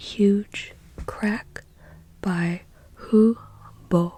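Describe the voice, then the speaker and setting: Soft-spoken, a woman at a medium pitch talks in monotone, flat intonation. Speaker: ASMR artist. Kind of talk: ASMR book ramble, casual talk to camera. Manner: soft-spoken, relaxing.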